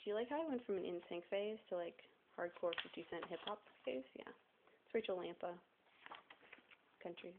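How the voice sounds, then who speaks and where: A woman of medium pitch speaks with lively intonation. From US South. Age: 20s. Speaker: vlogger. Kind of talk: casual show-and-tell vlog. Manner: casual, chatty; hurried.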